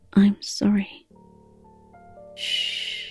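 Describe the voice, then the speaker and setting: A soft-spoken, fairly high-pitched woman with a calm tone, in a dry, close sound with no echo and music in the background. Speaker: ASMR storyteller. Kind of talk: improvised ASMR audio story. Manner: soft-spoken, calm.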